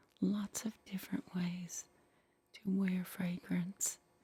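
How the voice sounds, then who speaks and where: A soft-spoken woman with a medium pitch and a dark, mellow tone. She talks at a very slow pace, somewhat breathy. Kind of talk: retro roleplay ASMR, 1960s Avon representative demonstration. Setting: ASMR roleplay setup with catalog and props.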